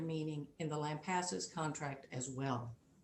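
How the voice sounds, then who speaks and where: Audible room echo surrounds a woman speaking fairly slowly. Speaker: appellate lawyer. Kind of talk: oral argument in court. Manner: soft-spoken.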